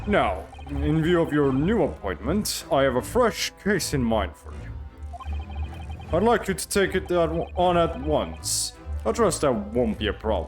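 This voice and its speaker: With music in the background, a man does a booming put-on character voice at medium pitch and a moderate pace. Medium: game stream. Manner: stern, formal, commanding.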